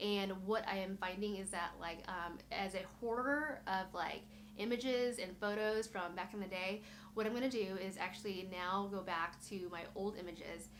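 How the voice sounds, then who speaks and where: The intonation stays fairly even. Room echo can be heard. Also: woman. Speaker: blogger and YouTuber. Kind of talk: casual tutorial walkthrough. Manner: fast; filler-heavy, casual.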